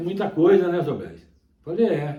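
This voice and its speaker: Audible room echo surrounds a man's voice. His tone is dark and mellow, and somewhat breathy. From Minas Gerais, Brazil. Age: 70s. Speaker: songbird breeder. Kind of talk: interview. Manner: halting, repetitive.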